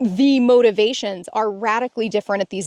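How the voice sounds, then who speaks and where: Very fast speech from a woman comes through with a dry, close sound and no echo. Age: 40s. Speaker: self-help video co-host. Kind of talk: casual instructional conversation.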